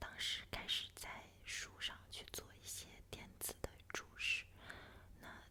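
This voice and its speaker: A woman whispering in a gentle tone, over noticeable background noise. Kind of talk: ASMR one-on-one chat sharing daily reflections. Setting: pure voice, no background music. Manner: soft, gentle, intimate.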